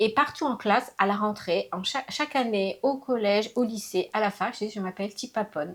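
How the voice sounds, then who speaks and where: Lively intonation runs through a woman's fairly high-pitched voice. She speaks at a moderate pace. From France (raised from age 6, born in Laos). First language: Lao (speaking French). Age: 50s. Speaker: interviewee mother. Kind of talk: casual interview. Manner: hesitant, many fillers.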